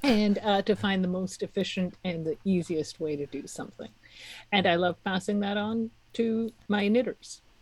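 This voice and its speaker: A somewhat breathy woman's voice at a medium pitch, with ordinary pitch variation and a moderate pace, on a very clean recording with a silent background. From Czech Republic. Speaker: knitting teacher and online course owner. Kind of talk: interview.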